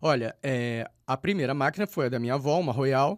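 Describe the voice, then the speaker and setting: A man's medium-pitched voice at a moderate pace, ordinary pitch variation, a dry, close sound with no echo, and a very clean recording with a silent background. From Rio de Janeiro, Brazil. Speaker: poet. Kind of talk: radio interview. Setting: radio studio. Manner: halting, many repetitions and fillers.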